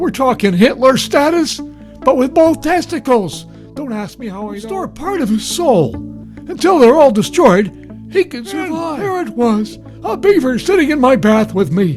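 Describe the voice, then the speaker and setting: In a cartoonish character voice pitched fairly high, the speaker goes at a moderate pace with clear music in the background. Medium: puppet show. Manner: casual, slangy.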